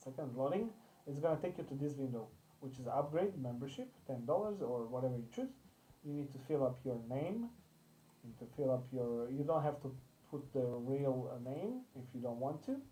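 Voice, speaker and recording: Someone with a non-native accent speaks at a moderate pace. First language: not English. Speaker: crypto investment channel host. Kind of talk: tutorial. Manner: halting.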